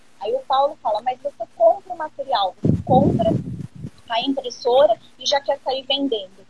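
Noticeable background noise sits behind a woman's voice. She talks at a moderate pace with a high pitch and lively intonation. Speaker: educator. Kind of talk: casual chat. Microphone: audio a bit quiet.

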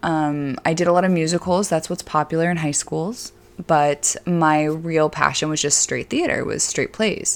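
A woman with an American accent speaks in a very deep, low pitch with fairly even intonation, on a very clean recording with a silent background. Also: moderate pace. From Syracuse, central New York State. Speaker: fitness coach and podcast host. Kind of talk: casual monologue. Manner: many filler words.

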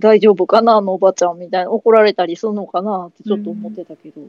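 A woman at a very fast pace, the sound dry and close with no echo. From Kansai, Japan. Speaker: podcast guest, third-generation Korean resident of Japan. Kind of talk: casual chat.

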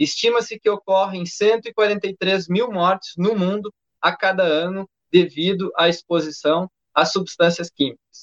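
This man's voice sits high in pitch with ordinary variation, moving at a fairly slow pace in a dry, close sound with no echo. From Brazil, Rio Grande do Sul (Canela). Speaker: live stream host, public servant, council candidate. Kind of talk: panel discussion livestream. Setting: online live stream.

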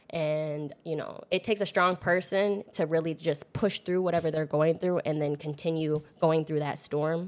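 A plain, everyday voice from a woman with an American accent, fairly low in pitch, with fairly even intonation, a moderate pace and hardly any pauses. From Illinois, Rockford. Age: 20s. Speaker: dancer and choreographer. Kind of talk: casual chat. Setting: studio.

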